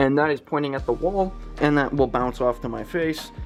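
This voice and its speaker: Over music in the background, a man speaks with ordinary pitch variation. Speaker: streamer and content creator. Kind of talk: setup tour. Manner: casual, rambling with fillers.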